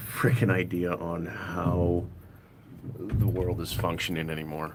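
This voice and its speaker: Over light background noise, a man with a very deep, low pitch speaks with ordinary pitch variation. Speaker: car DIY vlogger. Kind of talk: casual live-stream chat while working on a car. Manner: loud, voice carries. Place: street. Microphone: phone near.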